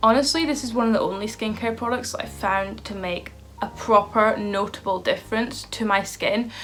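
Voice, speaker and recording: Noticeable background noise surrounds a woman speaking with a Scottish accent at a moderate pace. Her pitch is fairly high, with ordinary variation. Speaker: beauty and lifestyle vlogger. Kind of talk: casual vlog talk to camera. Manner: animated.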